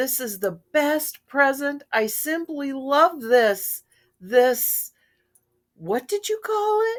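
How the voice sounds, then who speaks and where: A woman uses a put-on character voice, high in pitch with very wide swings. She speaks at a very slow pace. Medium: read story. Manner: gushing.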